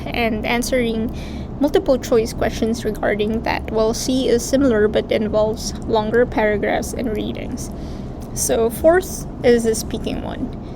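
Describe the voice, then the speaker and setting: With a non-native accent, a woman speaks fairly slowly in a fairly high voice with fairly even intonation over noticeable background noise. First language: not English. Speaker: international medical graduate. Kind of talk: explainer video.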